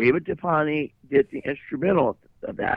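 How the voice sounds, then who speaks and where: Lively intonation in a normal speaking voice with an American accent. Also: man. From US Midwest. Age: 60s. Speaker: actor and musician. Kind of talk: interview.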